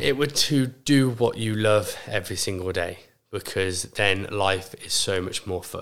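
In an unremarkable speaking voice, a man talks at a fairly slow pace and a fairly low pitch, with ordinary pitch variation. The recording is very clean, with a silent background. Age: 20s. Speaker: gym owner. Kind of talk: casual chat.

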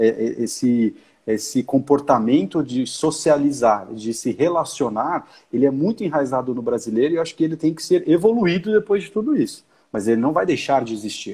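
A man with a fairly high pitch talks at a fairly quick pace, his tone dark and mellow and his intonation lively. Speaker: marketing director. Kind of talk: casual interview chat. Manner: hesitant, many fillers.

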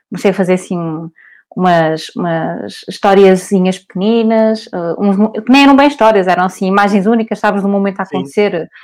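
A woman's unremarkable speaking voice at a medium pitch, fairly quick, with ordinary pitch variation, on a very clean recording with a silent background. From Portugal, Porto. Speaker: cartoonist. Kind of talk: interview.

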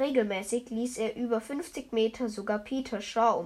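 Plain reading aloud, intonation fairly even throughout

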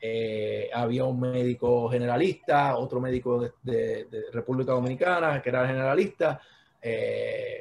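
A somewhat breathy man speaks at a medium pitch. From Puerto Rico, Patillas. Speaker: sports medicine doctor. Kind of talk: casual interview.

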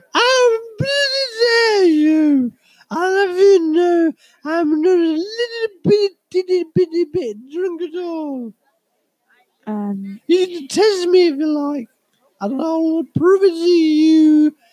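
In a put-on character voice pitched extremely high, the speaker talks at a very slow pace with long, frequent pauses. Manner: slurred, defensive.

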